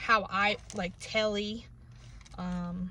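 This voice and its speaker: Very slow speech from a woman in an American accent. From New England, US. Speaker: book reviewer. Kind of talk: casual vlog review. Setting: in a car. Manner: casual, many fillers.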